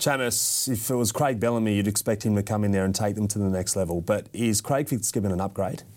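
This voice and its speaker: A man with a fairly low voice talks very fast, with hardly any pauses. His loudness stays very even, and his pitch varies an ordinary amount. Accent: Australian. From Western Sydney, Australia. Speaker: sports podcast host. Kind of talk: casual chat.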